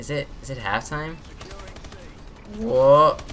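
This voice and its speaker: Noticeable background noise runs beneath a woman talking fairly slowly. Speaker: gaming YouTuber. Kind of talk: gameplay commentary tutorial. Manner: casual, filler-heavy.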